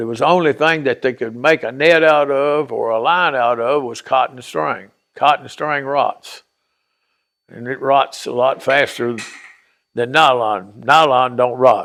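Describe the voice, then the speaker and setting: In a Southern US accent, a man talks at a fairly slow pace with fairly even intonation, recorded very cleanly against a silent background. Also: medium pitch for a man. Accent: Southern US rural. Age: 70s. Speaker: interviewee telling life story. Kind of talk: oral history interview. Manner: casual storytelling.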